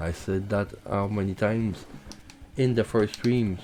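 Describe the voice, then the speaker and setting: With a Quebec accent, a man talks at a fairly slow pace in a fairly low voice with ordinary pitch variation over noticeable background noise. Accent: French Canadian accent in English. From Quebec, Canada. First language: French. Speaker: gaming streamer. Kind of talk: live gameplay commentary. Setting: live stream. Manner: halting, many fillers.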